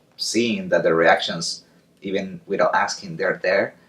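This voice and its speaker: A man with an Argentine accent. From Argentina. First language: Spanish. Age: 30s. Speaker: circus clown. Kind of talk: interview. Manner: halting.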